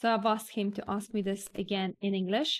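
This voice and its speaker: Speaking at a fairly quick pace, a woman has a medium pitch. She talks with a Polish accent. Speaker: vlogger. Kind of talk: Q&A vlog, casual talk to camera.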